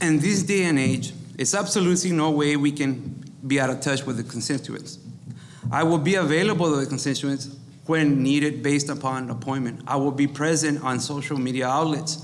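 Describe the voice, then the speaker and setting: Intonation stays fairly even as the speaker talks at a fairly quick pace in an American accent. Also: man, fairly high pitch for a man. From Texas, Rio Grande Valley (Weslaco); Texas. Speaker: school district employee, mayoral candidate; candidate. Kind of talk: candidate forum statements. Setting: live event with audience. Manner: reading prepared text. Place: meeting room. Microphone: podium.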